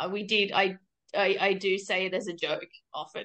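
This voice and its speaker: This woman talks at a medium pitch with an Australian accent. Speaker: podcast guest. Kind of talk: casual chat.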